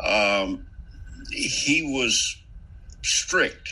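Noticeable background noise behind a man with an American accent. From Central Virginia. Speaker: author. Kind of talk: casual interview. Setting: remote call. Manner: halting, many fillers.

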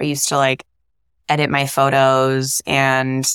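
A woman speaks with a raspy, very deep, low voice, recorded with a dry, close sound and no echo. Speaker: content creator. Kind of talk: casual interview chat.

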